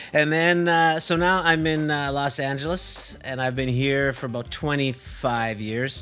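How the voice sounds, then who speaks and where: Music plays in the background and room echo is audible as a man talks at a fairly high pitch and fairly slow pace with ordinary pitch variation. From western Canada, Vancouver. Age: 60s. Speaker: drum teacher and personal trainer. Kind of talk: casual chat.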